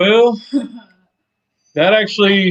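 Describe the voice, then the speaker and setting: An American accent colors this man's speech. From Ohio. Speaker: cooking channel creator. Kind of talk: interview. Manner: stutters a lot.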